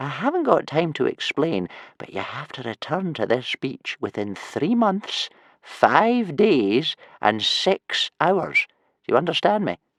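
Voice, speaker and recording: A man puts on a wheezy, high-pitched character voice. He speaks at a fairly slow pace against a quiet background. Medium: read story. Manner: wheezing, cryptic.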